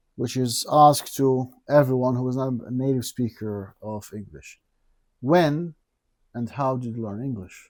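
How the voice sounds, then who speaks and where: This man has a plain, everyday voice of medium pitch with ordinary pitch variation. He speaks at a fairly slow pace, with big swings in loudness. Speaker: teacher, podcast host. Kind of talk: podcast host questions.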